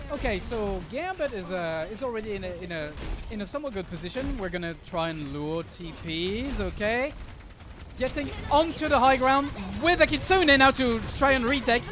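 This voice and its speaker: A man's raised, projected voice at an extremely high pitch, with very wide pitch swings, big swings in loudness, a moderate pace and noticeable background noise. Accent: French. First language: French. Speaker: esports caster. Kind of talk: live commentary. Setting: livestream. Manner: halting; animated.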